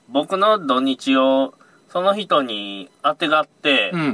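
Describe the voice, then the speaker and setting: Very slowly and with lively intonation, a man speaks at a fairly high pitch. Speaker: fishing charter boat operator leaving a security job. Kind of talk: casual chat.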